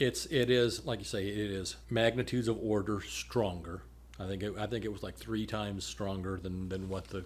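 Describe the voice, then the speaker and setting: A somewhat breathy man's voice, fairly low in pitch, with lively intonation and a moderate pace. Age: 60s. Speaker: public health official. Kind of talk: podcast conversation.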